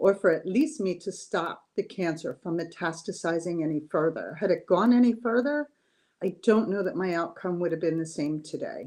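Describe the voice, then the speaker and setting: A woman talks in a plain, everyday voice, fairly low in pitch and at a moderate pace. Her intonation is lively, and the background is quiet. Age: 60s. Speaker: cancer survivor. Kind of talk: interview testimony.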